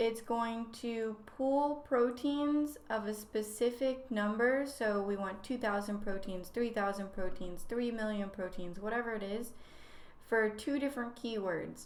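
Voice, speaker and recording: There is audible room echo and noticeable background noise. A woman speaks fairly slowly at a fairly high pitch with ordinary pitch variation. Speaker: graduate student, guest lecturer. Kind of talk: lecture. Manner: casual.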